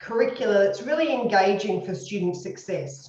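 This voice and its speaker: Audible room echo surrounds a woman with an Australian accent who talks at a moderate pace with lively intonation. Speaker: university educator, former speech pathologist. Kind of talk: lecture.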